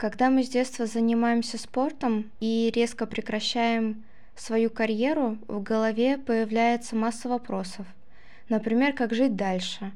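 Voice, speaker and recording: A woman talks at a fairly slow pace with fairly even intonation and a fairly high pitch. It is an unremarkable speaking voice. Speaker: student podcast host. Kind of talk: interview. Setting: studio.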